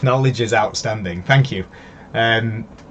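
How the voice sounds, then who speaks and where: In a Leeds accent, a man with a medium pitch speaks at a moderate pace. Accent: some Leeds. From northern England, Yorkshire near Leeds. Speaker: crypto live streamer. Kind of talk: live stream analysis. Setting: live stream from computer. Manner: hesitant, many fillers.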